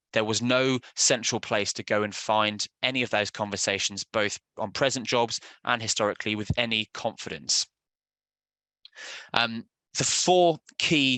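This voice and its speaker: A man speaks at a moderate pace in a British accent. The sound is dry and close with no echo, over a quiet background. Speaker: software sales presenter. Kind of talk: webinar presentation. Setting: online webinar. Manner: halting with fillers.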